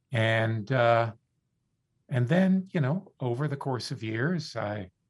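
Speaking at a fairly slow pace with an American accent, a man sounds somewhat breathy against a quiet background. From US South, South Florida. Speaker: philosophy professor and author. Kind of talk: radio interview. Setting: studio.

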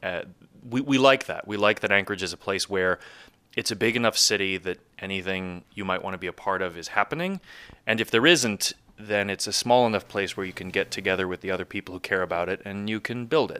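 A man with an American accent at a very fast pace, fairly low in pitch, with a bright, sharp tone and ordinary pitch variation, in a dry, close sound with no echo and a very clean recording with a silent background. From US Northeast, New York. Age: 30s. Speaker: interviewee, new resident. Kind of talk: casual interview.

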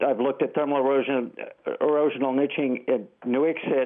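There is noticeable background noise behind this man's speech. His pitch is medium and his intonation fairly even. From Alaska. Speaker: engineering geologist. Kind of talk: call-in comment. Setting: phone call.

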